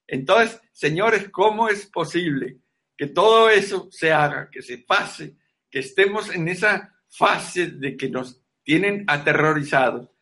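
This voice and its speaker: His high pitch and bright, sharp tone mark this man's voice, which shows ordinary pitch variation. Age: 80s+. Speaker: veterinarian and natural health lecturer. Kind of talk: online lecture.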